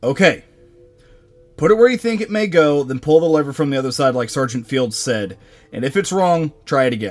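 Putting on a gruff character voice, a man speaks at a fairly quick pace and fairly high pitch with very wide pitch swings, faint music in the background. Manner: commanding, gruff.

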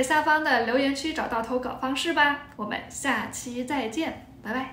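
Over light background noise and audible room echo, a woman talks at a moderate pace in a high voice. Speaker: Chinese language teacher. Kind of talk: casual talk to camera. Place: home room. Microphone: phone near.

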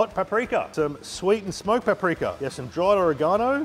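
Faint music sounds in the background. Over it, a man speaks fairly quickly. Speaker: chef host. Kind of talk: tutorial. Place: kitchen.

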